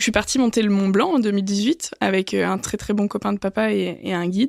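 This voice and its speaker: The sound is dry and close with no echo. A woman talks fairly quickly at a medium pitch, with ordinary pitch variation. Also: very clean recording, silent background. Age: 20s. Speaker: business school student. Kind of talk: podcast testimony. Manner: hesitant, many fillers.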